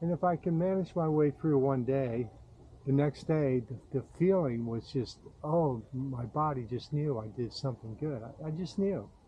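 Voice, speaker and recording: A somewhat breathy man's voice, fairly high in pitch, with ordinary pitch variation and a moderate pace. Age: 70s. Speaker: vlogger. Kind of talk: casual monologue. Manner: halting, repeats words.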